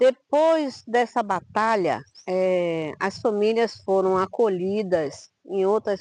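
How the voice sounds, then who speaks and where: Pitch shifts about as much as usual. No echo colors the dry, close sound. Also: woman. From Bahia, Brazil (Quingoma region near Salvador). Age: 60s. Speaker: quilombola community leader and Afro-Brazilian religious leader. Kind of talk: interview testimony. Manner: halting.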